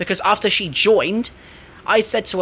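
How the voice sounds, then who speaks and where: In an English accent, a man talks at a very fast pace. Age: 20s. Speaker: gaming YouTuber. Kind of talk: casual chat. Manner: animated.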